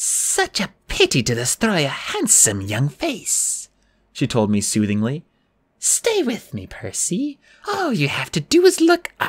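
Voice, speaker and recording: Using a put-on character voice, a man speaks at a high pitch and a fairly slow pace on a very clean recording with a silent background. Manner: soothing, hypnotic.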